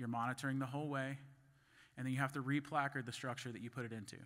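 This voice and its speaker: Against a very clean recording with a silent background, a man speaks at a medium pitch and a fairly quick pace in a bright, sharp tone and a monotone, flat intonation. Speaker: conference speaker on grain fumigation. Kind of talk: conference presentation. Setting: stage at a conference. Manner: fast; halting, with restarts and fillers.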